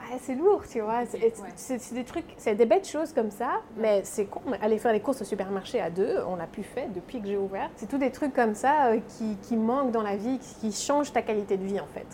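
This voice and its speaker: A woman's fairly high voice, full of lively intonation, moves at a moderate pace while noticeable background noise sits underneath. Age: 30s. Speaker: pastry chef and shop owner. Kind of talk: interview. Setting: in her workshop. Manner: animated.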